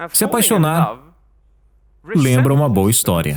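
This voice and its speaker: Very wide pitch swings and vocal fry in a fairly high-pitched male voice. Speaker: voice-over artist. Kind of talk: dubbed talk narration.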